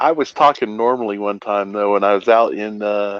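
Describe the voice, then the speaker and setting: A fairly low-pitched man's voice with an American accent. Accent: twang. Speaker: livestream host. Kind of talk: casual chat.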